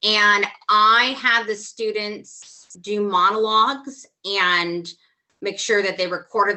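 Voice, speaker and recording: A woman talks at a very slow pace. Her pitch sits in the medium range. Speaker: theatre teacher. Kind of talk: online workshop discussion. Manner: loud, expressive.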